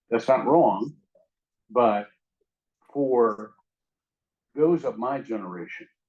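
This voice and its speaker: Pitched at a medium level, a man speaks very slowly with lively intonation. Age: 70s. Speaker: interfaith panelist. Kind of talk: panel discussion.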